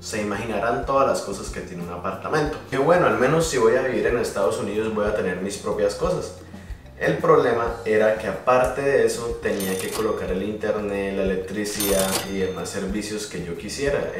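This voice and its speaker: Audible room echo and faint music in the background behind a man speaking at a fairly quick pace. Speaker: vlogger. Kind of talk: casual vlog chat. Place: home room. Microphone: phone near.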